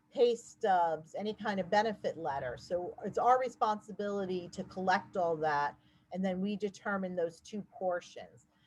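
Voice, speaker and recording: A woman with a normal speaking voice talks at a moderate pace, with medium pitch and ordinary pitch variation. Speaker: housing agency staff presenter. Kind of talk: webinar presentation. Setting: online webinar.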